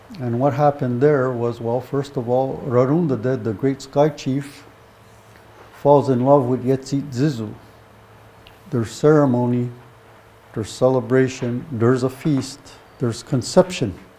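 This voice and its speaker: A man speaks at a medium pitch and moderate pace, with fairly even intonation. He takes long, frequent pauses against noticeable background noise. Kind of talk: teaching talk.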